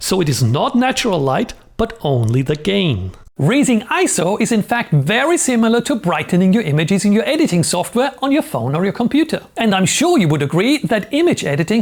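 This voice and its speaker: Someone speaks at a fairly quick pace. Noticeable background noise can be heard. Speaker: photography teacher. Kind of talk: tutorial. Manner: fast.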